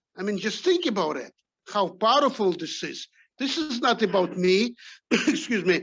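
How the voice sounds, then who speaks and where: Over a quiet background, a man speaks with a non-native accent. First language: not English. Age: 60s. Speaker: top sales rep. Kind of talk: motivational speech. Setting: video call.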